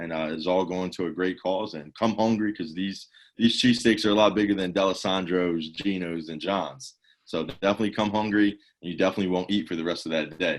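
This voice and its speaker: In a Philadelphia accent, a man talks at a fairly quick pace with a very deep, low pitch. His intonation stays fairly even over a quiet background. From Philadelphia, South Philly. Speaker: home cheesesteak cook. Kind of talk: casual chat.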